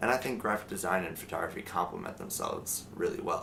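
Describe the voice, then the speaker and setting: Some echo from the room can be heard. This man talks at a moderate speed. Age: 20s. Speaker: photographer and design student. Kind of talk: documentary interview.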